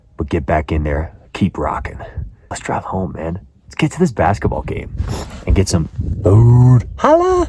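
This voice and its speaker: A man's very deep, low voice, fairly slow, with very wide pitch swings and noticeable background noise. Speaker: fitness vlogger. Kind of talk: casual vlog narration.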